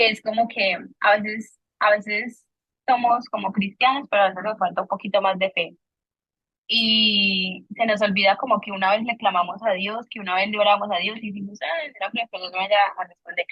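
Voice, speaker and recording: Mostly level intonation from a woman at a medium pitch. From Colombia. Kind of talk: faith testimony conversation. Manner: fast.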